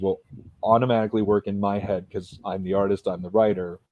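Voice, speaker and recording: This is a normal speaking voice: a man with an American accent and a fairly low pitch. His intonation stays fairly even. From California, USA. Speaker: comic book creator. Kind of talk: interview.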